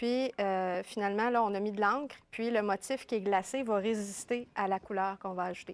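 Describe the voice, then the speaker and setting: On a very clean recording with a silent background, a woman with a Quebec accent speaks at a moderate pace with hardly any pauses. Her voice sits at a medium pitch, with fairly even intonation. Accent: Québécois French. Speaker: scrapbooking columnist. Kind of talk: TV craft demonstration. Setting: TV studio. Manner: casual, chatty.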